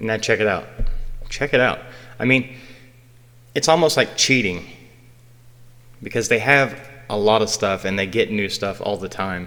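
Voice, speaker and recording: Bright and sharp in tone, a man with a fairly low pitch and ordinary pitch variation speaks with long, frequent pauses. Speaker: graphic design tutorial youtuber. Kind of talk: software tutorial. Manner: fast; casual, informal.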